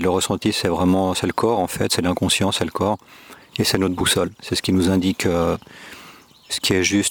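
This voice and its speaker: The sound is dry and close, with no echo, and noticeable background noise sits behind it. The intonation stays monotone and flat. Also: man. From Switzerland, Geneva. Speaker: podcast guest on spirituality. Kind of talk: reflective interview. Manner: hesitant, many fillers.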